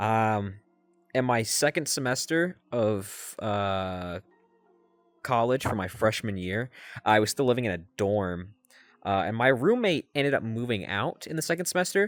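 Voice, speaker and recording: A man with a medium-pitched voice talks at a fairly slow pace with lively intonation while music plays in the background. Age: 20s. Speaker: college student vlogger. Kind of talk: casual personal vlog monologue. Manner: hesitant, many fillers.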